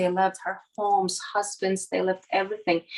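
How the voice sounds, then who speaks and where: In a Ukrainian accent, a woman speaks at a moderate pace and a medium pitch. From Ukraine. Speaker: volunteer for a nonprofit. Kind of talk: interview. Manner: halting, many fillers.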